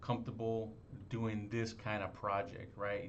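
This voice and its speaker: A medium-pitched man amid audible room echo. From Los Angeles. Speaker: real estate wholesaler. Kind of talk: sales call. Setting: phone call.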